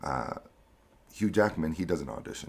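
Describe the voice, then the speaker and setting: Very deep, low male voice with lively intonation and vocal fry. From Costa Rica, raised in Miami from age 7. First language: Spanish. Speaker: actor. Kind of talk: interview. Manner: casual, filler-heavy (um, uh).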